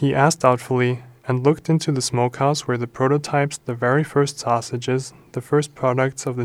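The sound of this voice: Fairly even intonation runs through this unforced reading voice.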